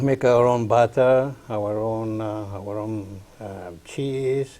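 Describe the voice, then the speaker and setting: A man's very slow, medium-pitched speech in an Italian accent, dark and mellow in tone, with fairly even intonation and big swings in loudness. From northern Italy, near Swiss border. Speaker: community farm leader. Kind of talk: interview.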